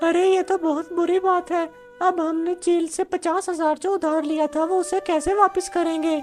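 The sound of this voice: A cartoonish character voice speaks with monotone, flat intonation and hardly any pauses. Clear music plays in the background. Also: female-sounding voice, extremely high pitch for a woman, moderate pace.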